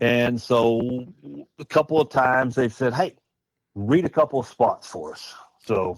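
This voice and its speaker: A man with an American accent, medium pitch and moderate pace. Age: 60s. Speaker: festival committee chair. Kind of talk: interview. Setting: studio in an Airstream trailer.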